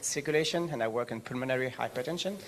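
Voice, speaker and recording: This man's voice sits fairly high, with a French accent and fairly even intonation. Noticeable background noise runs behind him. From France. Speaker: research scientist. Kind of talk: conference panel talk.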